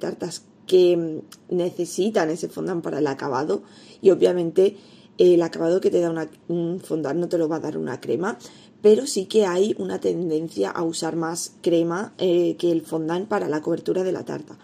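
A woman's plain, everyday voice, fairly low in pitch, at a moderate pace with ordinary pitch variation. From Spain, Elda (Alicante). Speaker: pastry chef and baking teacher, podcast host. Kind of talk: solo podcast tutorial.

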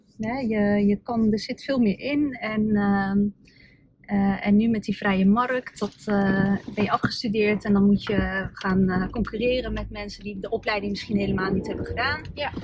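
A woman talks at a moderate pace with fairly even intonation over noticeable background noise. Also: medium pitch for a woman. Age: 30s. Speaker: lawyer and entrepreneur. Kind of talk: casual interview. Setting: in a car.

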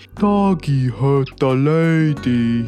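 A put-on character voice bellows out. The pitch sits low to middle. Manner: bellowing.

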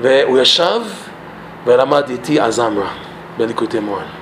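Against noticeable background noise, a man with an English accent talks at a moderate pace. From Canada, Toronto. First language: English (speaking Hebrew). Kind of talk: personal testimony talk; Torah lesson.

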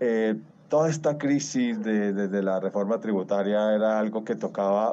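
Dark and mellow in tone, a man speaks at a fairly low pitch. His pitch varies in an ordinary way at a moderate pace. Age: 60s. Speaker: interviewee. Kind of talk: interview. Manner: halting.

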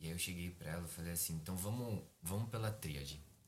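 A man talks at a fairly quick pace in a very deep, low voice. Room echo is audible. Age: 20s. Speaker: psychology student and preacher. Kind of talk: casual chat.

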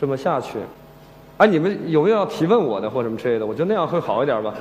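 A man speaks very fast with very wide pitch swings, his voice carrying audible room echo over noticeable background noise. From Shandong, China. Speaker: screenwriter. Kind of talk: stage talk. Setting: stage with audience. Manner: hesitant, many fillers.

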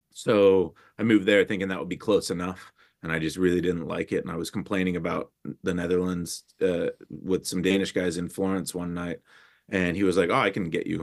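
A man with an American accent speaks at a fairly quick pace in a very deep, low voice, his intonation fairly even. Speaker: photographer. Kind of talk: interview. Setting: remote call. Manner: loud.

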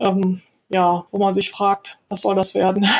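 A woman speaks at medium pitch in a flat, monotone way. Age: 50s. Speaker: virtual assistant, former translator. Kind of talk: interview.

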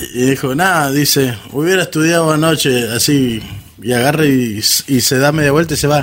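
An ordinary speaking voice at a moderate pace, with very even loudness and ordinary pitch variation. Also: man, fairly high pitch for a man. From Córdoba, Argentina. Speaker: guest, friend of the hosts. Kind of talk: casual chat.

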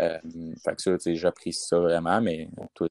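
A man's very deep, low voice in a dry, close recording with no echo. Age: 20s. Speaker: football player. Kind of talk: interview. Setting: at parents' home.

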